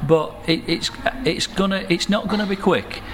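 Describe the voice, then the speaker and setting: A man's voice amid noticeable background noise. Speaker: financial services businessman. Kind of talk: interview.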